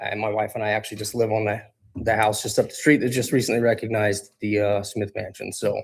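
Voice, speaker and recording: Talking at a very fast pace with an American accent, a man sounds somewhat breathy and keeps a monotone, flat intonation. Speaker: city council applicant. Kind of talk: interview statement. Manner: halting.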